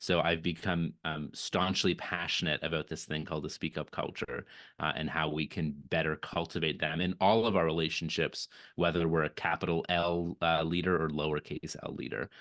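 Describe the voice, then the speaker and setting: In a very deep, low pitch, a man talks at a fairly quick pace with monotone, flat intonation. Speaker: author and leadership speaker. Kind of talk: virtual event interview. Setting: video call. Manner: halting, with repetitions.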